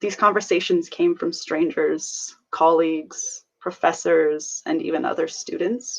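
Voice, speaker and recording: Speaking at a fairly slow pace, a woman talks with hardly any pauses. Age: 20s. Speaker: student. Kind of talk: prepared personal testimony.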